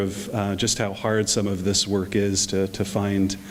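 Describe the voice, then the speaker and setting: Noticeable background noise accompanies a man. He talks at a fairly low pitch and a fairly slow pace. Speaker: bishop. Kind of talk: short address to a gathering. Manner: hesitant, many fillers.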